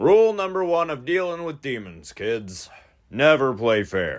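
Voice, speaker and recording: Putting on a cartoonish character voice, a man speaks at a moderate pace in a fairly high pitch with very wide pitch swings, on a very clean recording with a silent background. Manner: gruff, irritable.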